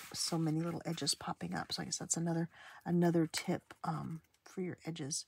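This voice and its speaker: A soft-spoken woman with a fairly low pitch talks at a fairly quick pace, in a dry, close sound with no echo. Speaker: crafting video creator. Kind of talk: craft tutorial. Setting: at home. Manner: halting, many fillers.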